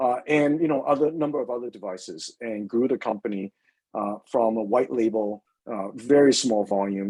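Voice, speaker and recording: Medium-pitched male voice with a dark, mellow tone, ordinary pitch variation and a moderate pace. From US West Coast. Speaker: company CEO. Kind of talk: interview Q&A. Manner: many fillers and repetitions.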